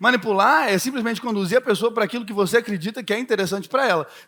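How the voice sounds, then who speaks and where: A man rushes along at a very fast pace with lively intonation. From Belo Horizonte, Minas Gerais, Brazil. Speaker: political marketing speaker. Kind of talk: keynote talk.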